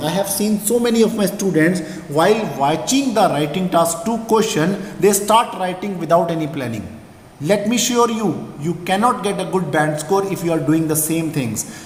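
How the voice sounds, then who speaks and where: Amid noticeable background noise and audible room echo, a man speaks with a high pitch and lively intonation. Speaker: IELTS teacher. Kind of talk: tutorial. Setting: screen-share presentation. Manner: fast.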